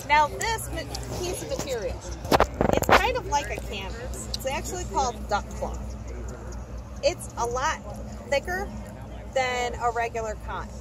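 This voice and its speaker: Fairly slow speech full of long, frequent pauses, dry with no echo, over crowd noise in the background. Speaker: costumed history reenactor. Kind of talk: lecture. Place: open country.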